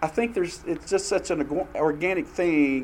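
This is a man speaking. He talks in a Southern US accent. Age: 50s. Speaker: church class teacher. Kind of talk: church class teaching with discussion.

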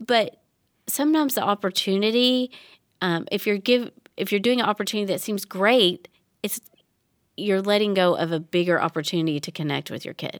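A woman talks fairly quickly at a medium pitch with ordinary pitch variation, leaving long, frequent pauses. The recording is very clean with a silent background, dry and close with no echo. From Tennessee. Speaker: children's ministry director. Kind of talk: casual chat.

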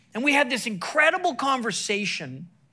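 At a moderate pace, a man projects a raised voice at an extremely high pitch, with a bright, sharp tone, an animated delivery and lively intonation. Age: 50s. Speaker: sports chaplain and evangelist. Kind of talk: sermon. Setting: church stage with audience.

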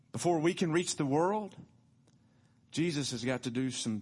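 A man with a Tennessee accent and lively intonation, against a quiet background. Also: long, frequent pauses. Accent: Southern US (Tennessee). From US South, Tullahoma, Tennessee. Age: 50s. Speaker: pastor. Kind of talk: sermon. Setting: church.

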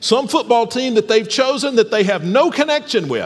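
Noticeable background noise behind a man speaking in an American accent. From US South, Alabama. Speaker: pastor. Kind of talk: sermon. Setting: church.

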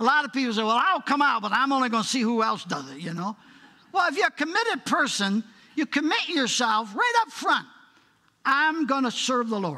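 A man speaks in a raised, projected voice with an extremely high pitch. His intonation is lively. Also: fairly quick pace. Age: 80s+. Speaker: guest preacher. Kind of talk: sermon. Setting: church.

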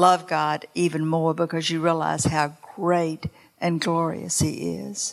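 A woman speaks with a Southern US accent. Her pitch is fairly low and her pace fairly slow. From North Carolina. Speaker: church member. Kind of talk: testimony. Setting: church.

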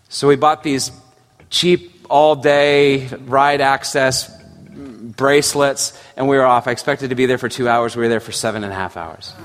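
A man at medium pitch with ordinary variation, moderate pace, music in the background. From Scotland. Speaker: pastor. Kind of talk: sermon.

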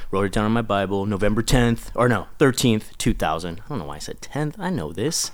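Here is a man with an American accent and a normal speaking voice, talking at a fairly quick pace with lively intonation. The recording is very clean, with a silent background. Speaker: children's pastor. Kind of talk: casual chat.

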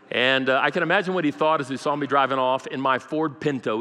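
Talking at a very fast pace in an American accent, a man with a fairly high pitch and ordinary pitch variation is heard over noticeable background noise. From Brazil (American missionary kid). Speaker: pastor. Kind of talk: sermon. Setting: church.

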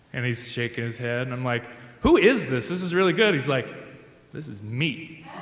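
A man talks at a moderate pace with lively intonation and big swings in loudness. There is audible room echo and noticeable background noise. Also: medium pitch for a man. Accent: Midwestern American. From US Midwest, rural Indiana. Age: 30s. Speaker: church music staff, singer. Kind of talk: live storytelling.

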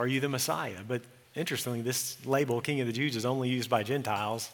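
Over noticeable background noise and audible room echo, a man with an American accent speaks very fast with fairly even intonation. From Texas, Eula. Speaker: pastor. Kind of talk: sermon.

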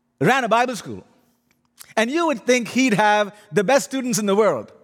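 A man with an Indian accent speaks at a moderate pace and an extremely high pitch. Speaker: guest preacher. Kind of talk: sermon. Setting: church.

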